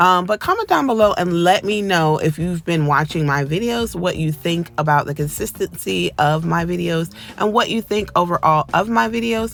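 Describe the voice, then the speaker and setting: Over noticeable background noise, a woman with a fairly low pitch speaks at a moderate pace with lively intonation and hardly any pauses. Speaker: nail tech YouTuber. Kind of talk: tutorial voiceover. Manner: casual with fillers.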